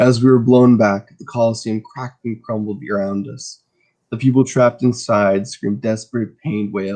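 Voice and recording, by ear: Text read aloud in a natural voice, with a quiet background.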